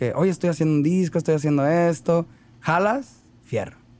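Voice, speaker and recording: This man talks at a very fast pace, his pitch fairly high and his intonation fairly even. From Mexico, Ciudad Obregón, Sonora. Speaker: rapper. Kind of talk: casual interview chat.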